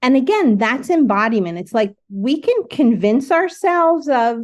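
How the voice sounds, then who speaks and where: Against a quiet background, the voice moves at a fairly slow pace with very wide pitch swings. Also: woman. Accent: New Jersey. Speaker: artist and spiritual director. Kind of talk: casual chat. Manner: animated.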